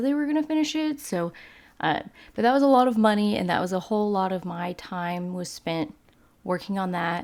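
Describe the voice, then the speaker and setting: Lively intonation comes through in a slight Texas accent. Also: woman. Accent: Southern accent, slight Texas drawl. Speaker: video game YouTuber. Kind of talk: casual commentary over gameplay. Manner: casual, filler-heavy.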